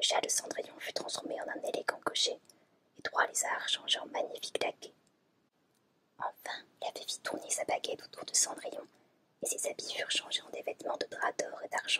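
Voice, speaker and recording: Whispering with long, frequent pauses, a woman makes big swings in loudness. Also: moderate pace, dry, close sound with no echo. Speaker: ASMR creator. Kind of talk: fairy tale reading from a book.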